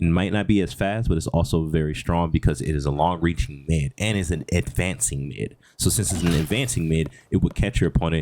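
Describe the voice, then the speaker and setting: Speaking at a fairly quick pace, a man with a very deep, low pitch shows ordinary pitch variation. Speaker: gaming content creator. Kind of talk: tutorial. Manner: fast; halting with fillers.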